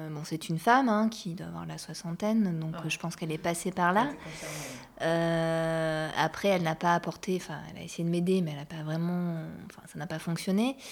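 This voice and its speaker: In a plain, everyday voice, a woman with a fairly low pitch speaks at a moderate pace with ordinary pitch variation and big swings in loudness. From Bordeaux, France. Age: 40s. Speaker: performing arts worker. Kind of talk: casual chat.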